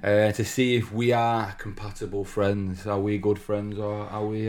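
A man in a Manchester accent, fairly low in pitch, at a moderate pace with fairly even intonation. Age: 30s. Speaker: podcast co-host. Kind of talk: casual chat.

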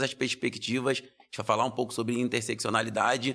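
A man talks at a fairly quick pace in a normal speaking voice, medium in pitch. The recording is very clean, with a silent background. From Brazil, Rio de Janeiro. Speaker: lawyer and social entrepreneur. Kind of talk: interview conversation.

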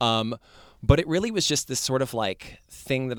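This man has a plain, everyday voice with ordinary pitch variation and a fairly quick pace. The very clean recording has a silent background and a dry, close sound with no echo. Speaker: actor and social media personality. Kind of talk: casual chat.

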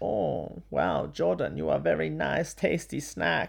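In a put-on character voice, a man speaks at a fairly slow pace with a very deep, low pitch. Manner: flirty, playful.

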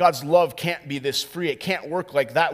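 A man speaks at a moderate pace with an American accent, fairly high in pitch. It is a normal speaking voice with ordinary pitch variation. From US Midwest, North Dakota. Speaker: pastor. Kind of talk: sermon.

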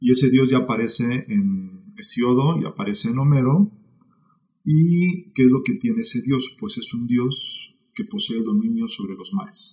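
A somewhat breathy man at medium pitch, dark and mellow in tone, with very wide pitch swings at a fairly slow pace. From Mexico City. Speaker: author. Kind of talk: casual chat.

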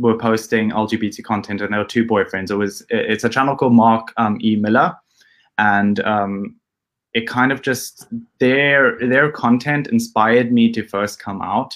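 Medium-pitched and in an unremarkable speaking voice, a man talks at a moderate pace with fairly even intonation. The recording is very clean, with a silent background. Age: 20s. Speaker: YouTuber. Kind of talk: interview.

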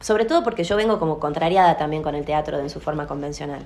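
This voice belongs to a woman. The rise and fall of her pitch is ordinary. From Salta, Argentina. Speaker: theatre actress and director, drama school owner. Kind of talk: interview.

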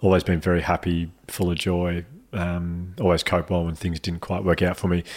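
Over a silent background on a very clean recording, a man with an Australian accent speaks in a very deep, low voice with monotone, flat intonation. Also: moderate pace. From Australia, Melbourne. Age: 30s. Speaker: mental health speaker. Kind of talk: casual chat.

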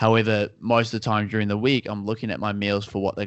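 A man talks very fast in a fairly low voice with a New Zealand accent. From New Zealand (Auckland). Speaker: personal trainer and nutritionist. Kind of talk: casual interview chat. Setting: call.

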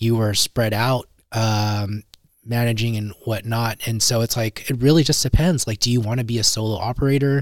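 A man with an ordinary speaking voice and medium pitch delivers his words at a moderate pace, his intonation fairly even. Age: 30s. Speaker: podcast host. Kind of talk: casual interview.

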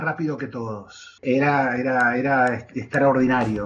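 Noticeable background noise is present. Over it, a man talks fairly slowly. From Argentina. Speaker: sports journalist. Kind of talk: interview. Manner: halting, many filler words.

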